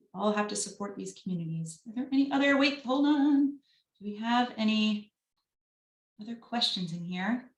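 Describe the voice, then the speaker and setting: A woman speaks in a Long Island accent at a moderate pace. Her pitch is medium and her intonation lively. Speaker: business advisor at a lender. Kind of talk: panel Q&A on video call. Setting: video call.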